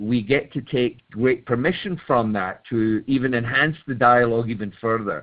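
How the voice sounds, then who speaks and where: A man talks in a Scottish accent with hardly any pauses. His pitch varies in an ordinary way. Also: medium pitch for a man, moderate pace. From Scotland. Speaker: webinar participant. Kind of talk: call-in comment in group discussion. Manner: halting, many repeated words.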